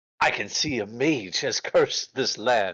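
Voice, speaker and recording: This is a put-on character voice. Its pitch sits in the low-to-middle range. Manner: grand, authoritative.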